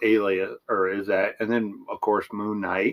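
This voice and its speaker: A man speaks at a fairly slow pace. He has an unremarkable speaking voice. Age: 40s. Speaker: podcast co-host. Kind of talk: casual chat.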